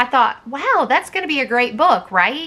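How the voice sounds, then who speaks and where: Bright and sharp in tone, a woman with a strong Southern US accent speaks in very wide pitch swings. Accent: thick Southern US. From US South. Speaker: homeschool vlogger. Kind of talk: book review vlog. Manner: casual, conversational.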